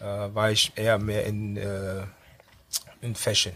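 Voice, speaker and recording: A man is speaking. His pitch sits fairly low. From Düsseldorf, moved from Ghana as a child. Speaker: party organizer and DJ. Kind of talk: casual radio interview. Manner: halting.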